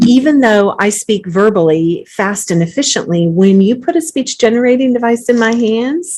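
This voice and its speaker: Speaking in a plain, everyday voice, a woman keeps to a moderate pace. Her pitch sits fairly high, and her intonation is lively. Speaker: company founder and AAC specialist. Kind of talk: casual chat.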